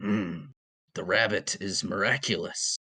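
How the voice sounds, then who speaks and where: In a dry, close sound with no echo, a man does a raspy put-on character voice at a fairly low pitch and a fairly slow pace. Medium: actual play. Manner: stilted, literal, starts with a musing hum.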